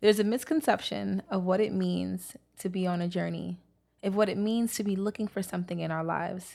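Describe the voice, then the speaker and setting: Speaking at a moderate pace, a woman with an American accent and medium pitch is heard on a very clean recording with a silent background. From Brooklyn, New York. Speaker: author and poet. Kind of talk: casual chat, interview.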